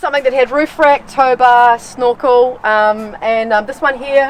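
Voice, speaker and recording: In a New Zealand accent, a woman speaks with a high pitch and fairly even intonation. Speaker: solo overland traveller. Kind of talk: casual interview. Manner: halting, many fillers.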